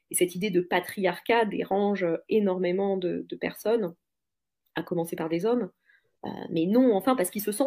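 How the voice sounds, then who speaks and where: The voice has a dark, mellow tone and ordinary pitch variation, moving at a fairly quick pace. The recording is very clean, with a silent background. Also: woman. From France. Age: 40s. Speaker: podcaster. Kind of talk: casual interview chat. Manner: hesitant, many fillers.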